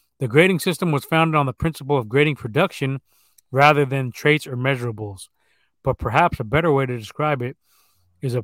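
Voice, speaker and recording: This is a plain, everyday voice, a man's, fairly high in pitch with ordinary pitch variation. He talks at a fairly quick pace, and the sound is dry and close with no echo. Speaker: sports podcast host. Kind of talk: casual profanity-heavy sports banter. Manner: casual, profane, talkative.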